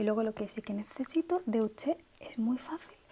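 A soft-spoken woman talks in a gentle tone with ordinary pitch variation over light background noise. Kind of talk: roleplay monologue to the viewer. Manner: soft-spoken, gentle ASMR voice. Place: home room.

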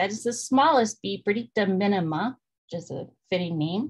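A woman at a moderate pace, with ordinary pitch variation, against a quiet background. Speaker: presenter. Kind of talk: lecture. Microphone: webcam.

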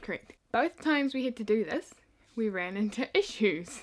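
A woman with a New Zealand accent speaks at a fairly high pitch with lively intonation. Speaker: YouTuber. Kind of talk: casual vlog storytelling. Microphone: phone near.

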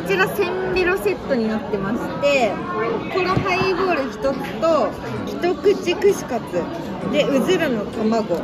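The speech moves at a fairly slow pace over loud music in the background. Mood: cheerful, chatty. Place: bar. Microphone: phone near.

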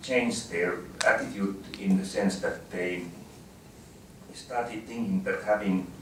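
Spoken at a moderate pace, the voice carries audible room echo over light background noise. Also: man. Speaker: speaker. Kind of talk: talk. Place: meeting room.

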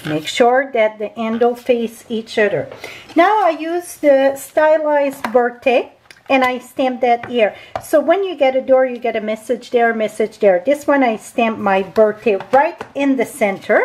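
A woman's high-pitched voice with lively intonation at a fairly slow pace, amid light background noise. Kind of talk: tutorial.

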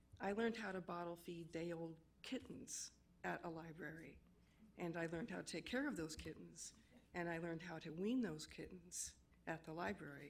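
Woman with a fairly low pitch and ordinary pitch variation, at a moderate pace, in audible room echo. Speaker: public commenter at city council. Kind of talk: public comment speech. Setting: council chambers.

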